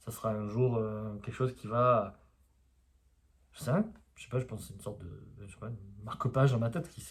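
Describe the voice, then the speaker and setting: A man talks quietly at a medium pitch. There is a somewhat breathy quality to his voice. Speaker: osteopath and spiritual YouTuber. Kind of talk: casual vlog monologue. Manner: hesitant, many fillers.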